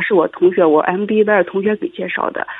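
At a fairly quick pace, a woman speaks at medium pitch with very wide pitch swings. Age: 30s. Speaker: caller to advice radio show. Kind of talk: call-in advice conversation.

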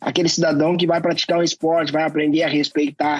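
The man's fairly high voice stays monotone, with flat intonation. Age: 40s. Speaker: anti-racism activist. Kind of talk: interview.

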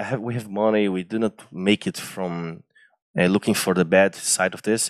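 A man with a Brazilian accent talks at a moderate pace. The recording is very clean, with a silent background and a dry, close sound with no echo. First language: Portuguese. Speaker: engineering student and former intern. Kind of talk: interview storytelling. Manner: animated; halting.

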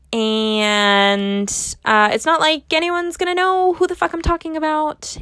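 This woman speaks at a fairly slow pace in a high, bright, sharp voice. Her pitch swings very widely. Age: 20s. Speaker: podcast host. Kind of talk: casual monologue. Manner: halting, many filler words.

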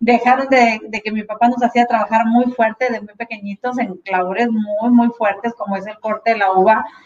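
A woman's voice, fairly high in pitch. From Sinaloa, Mexico. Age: 40s. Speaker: network marketing leader. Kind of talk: motivational talk. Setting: video call. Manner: animated.

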